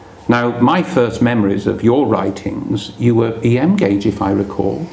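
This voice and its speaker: A man with an English accent speaks at a fairly slow pace and a medium pitch, with noticeable background noise and audible room echo. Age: 60s. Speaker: magazine presenter interviewing a modeller. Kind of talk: casual interview. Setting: at the guest's home.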